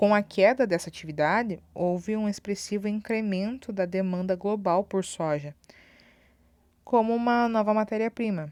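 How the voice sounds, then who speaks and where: A woman speaks in an ordinary speaking voice at a medium pitch, keeping a moderate pace and ordinary pitch variation. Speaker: school teacher. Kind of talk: recorded online lesson.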